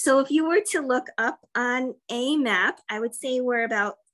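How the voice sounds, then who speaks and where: A woman's high-pitched voice in an American accent, fairly slow, with lively intonation. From US, Northeast Pennsylvania. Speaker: American immigrant in Canada. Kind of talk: casual interview.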